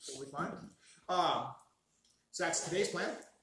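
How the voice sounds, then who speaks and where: A man's voice is heard with audible room echo. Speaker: beer review show host. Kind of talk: casual chat.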